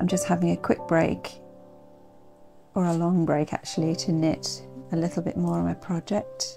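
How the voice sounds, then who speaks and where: A soft-spoken woman talks at a fairly slow pace, with clear music in the background. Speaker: knitter and vlogger. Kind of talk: casual talk to camera. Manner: soft-spoken, slow. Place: home room. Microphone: phone near.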